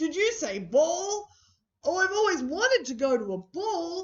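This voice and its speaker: An extremely high put-on character voice at a moderate pace. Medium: read story.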